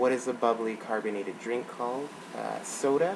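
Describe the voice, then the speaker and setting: An American accent at a fairly slow pace over noticeable background noise. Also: man. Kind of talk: casual talk to camera. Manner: hesitant, casual.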